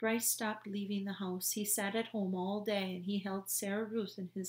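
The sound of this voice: The delivery is an unforced reading voice. Its intonation is fairly even.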